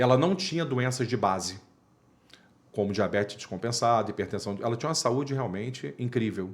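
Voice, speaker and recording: With an animated tone and lively intonation, a man of medium pitch talks at a fairly quick pace. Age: 50s. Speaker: dental surgeon. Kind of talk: interview.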